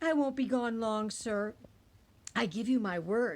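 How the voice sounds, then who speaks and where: Using a put-on character voice, a woman talks fairly slowly at a fairly high pitch. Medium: read story. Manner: wheedling.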